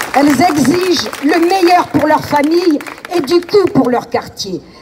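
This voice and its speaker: Over noticeable background noise, a woman talks at a fairly slow pace with lively intonation. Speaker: neighbourhood activist. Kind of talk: protest speech. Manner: formal.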